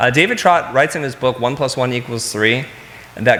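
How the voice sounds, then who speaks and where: The man's medium-pitched voice moves fairly quickly against noticeable background noise. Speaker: keynote speaker, design company CEO and educator. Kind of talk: conference keynote talk. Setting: stage with audience. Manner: fast.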